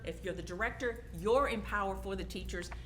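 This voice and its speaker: A woman speaks in a room with audible echo, and noticeable background noise runs underneath. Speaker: adult education program director. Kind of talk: conference presentation. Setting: stage with audience. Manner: loud, projecting.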